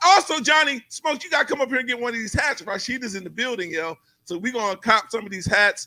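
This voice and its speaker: In a raised, projected voice with a bright, sharp, animated tone, the speaker races at a very fast pace with very wide pitch swings. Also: man, extremely high pitch for a man. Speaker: talk show host. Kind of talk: casual live show interview. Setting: live studio set. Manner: loud.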